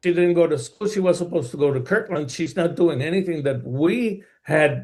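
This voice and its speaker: A man with a high voice talks at an average speed, his pitch moving in a normal way. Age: 70s. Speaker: adoptive parent in court case. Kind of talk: court testimony. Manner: halting.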